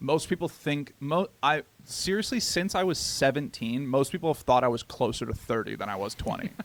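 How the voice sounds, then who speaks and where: A man with a plain, everyday voice, fairly high pitch, lively intonation, a fairly quick pace and hardly any pauses. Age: 20s. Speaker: podcast co-host. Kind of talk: casual chat.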